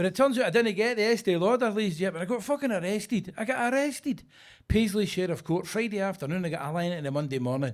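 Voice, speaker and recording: Speaking at a very fast pace, a man with a high pitch uses an animated tone and lively intonation. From Scotland, Glasgow (Govan). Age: 60s. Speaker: stand-up comedian. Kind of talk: stand-up. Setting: stage with audience.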